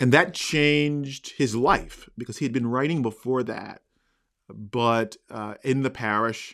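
A man at a moderate pace with fairly even intonation, in a very clean recording with a silent background. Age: 40s. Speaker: university residence hall rector. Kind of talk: interview conversation. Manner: halting.

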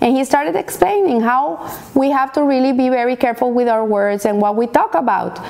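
Against noticeable background noise, a woman talks at a moderate pace in a high pitch with ordinary pitch variation. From Colombia. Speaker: Torah teacher. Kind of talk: weekly Torah lesson.

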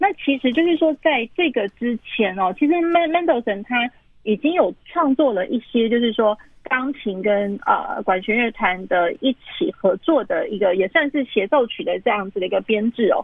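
A woman speaks at a high pitch and a moderate pace, with hardly any pauses. Her pitch swings very widely. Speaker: pianist. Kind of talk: interview about classical music. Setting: phone call. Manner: hesitant, many fillers. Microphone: phone recording.

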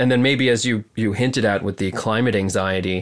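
An ordinary speaking voice from a man, medium in pitch, fairly quick and fairly even in intonation. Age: 30s. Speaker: artist. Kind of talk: casual chat. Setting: remote call from home.

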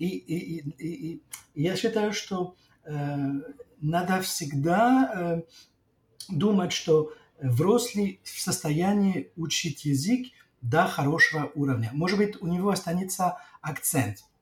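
The speech comes at a very slow pace, with long, frequent pauses and lively intonation. The speaker talks in a French accent. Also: man, high pitch for a man. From northern France. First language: French (speaking Russian). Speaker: intercultural trainer and lecturer. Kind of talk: interview. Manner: halting, many fillers.

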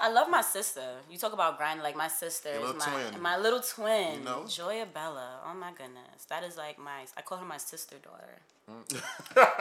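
A woman's fairly low voice carries lively intonation at a moderate pace, with noticeable background noise behind her. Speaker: podcast guest.

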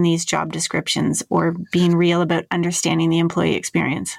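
The speaker talks at a moderate pace with a Canadian accent. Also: woman. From Toronto area, Canada. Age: 40s. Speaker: podcast host on workplace experience. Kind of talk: podcast interview.

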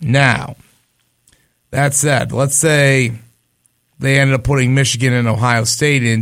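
A man speaks at a fairly slow pace and medium pitch, his intonation monotone and flat. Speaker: sports radio host and game broadcaster. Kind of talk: casual sports banter.

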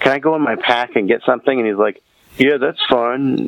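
A man with an American accent talks fairly quickly with fairly even intonation over noticeable background noise. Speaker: podcast guest, English teacher. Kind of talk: casual chat.

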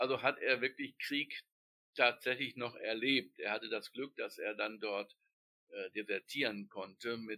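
Delivered at a fairly slow pace, the voice sounds dry and close, without any echo. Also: man. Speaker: book editor and literary society chairman. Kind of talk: interview.

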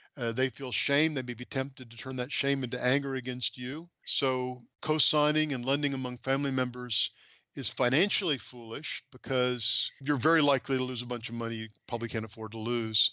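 Talking at a fairly quick pace with fairly even intonation, a man has a normal speaking voice. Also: medium pitch for a man. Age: 60s. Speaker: seminary professor and biblical counselor. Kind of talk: interview about his book.

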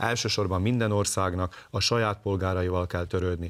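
A man's fairly low voice, an ordinary speaking voice, at a fairly quick pace with fairly even intonation, on a very clean recording with a silent background. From southern Slovakia, Hungarian minority. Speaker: ethnic minority party leader. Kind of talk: political interview.

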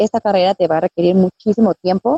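Dark, mellow tone with fairly even intonation, dry and close with no echo. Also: woman. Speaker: radio announcer and voice actor. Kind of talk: interview.

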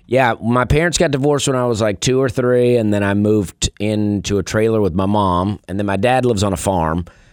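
A man with an Alabama accent speaks at a fairly low pitch and fairly quick pace with lively intonation, on a very clean recording with a silent background. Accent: Southern US (Alabama). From US South, Opelika, Alabama. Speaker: stand-up comedian. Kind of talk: casual chat; stand-up. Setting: radio studio.

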